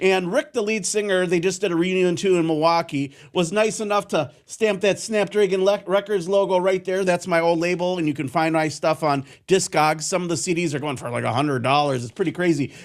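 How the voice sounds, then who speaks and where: In a very clean recording with a silent background, a man with a Wisconsin accent talks fairly quickly in a high voice with ordinary pitch variation. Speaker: radio host. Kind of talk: casual monologue. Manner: not crisp, filler-heavy.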